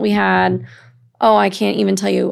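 A woman is speaking. She has a Midwestern American accent. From Illinois, Quad Cities (East Moline). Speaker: workforce program manager, former teacher. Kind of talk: interview conversation.

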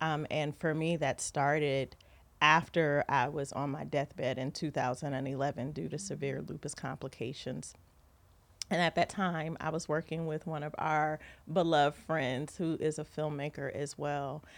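In a very clean recording with a silent background, a woman with an American accent speaks at a moderate pace, her very deep, low pitch held in monotone, flat intonation. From Ohio and Southern California. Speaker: TV film producer and branding coach. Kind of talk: casual interview. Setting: studio, sitting next to host.

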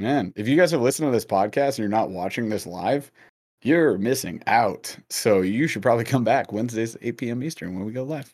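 A man with a normal speaking voice talks fairly quickly in a medium pitch, with ordinary pitch variation. The recording is very clean, with a silent background. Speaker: podcast host. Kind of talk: casual chat.

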